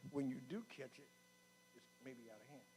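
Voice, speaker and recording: Music plays behind a man whose speech carries ordinary pitch variation. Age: 70s. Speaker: health speaker at men's conference. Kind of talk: talk to a church men's group.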